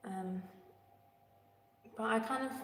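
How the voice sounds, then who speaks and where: Amid noticeable background noise and audible room echo, a woman talks with an English accent. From England. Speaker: singer. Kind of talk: casual livestream chat. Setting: echoey room, livestream.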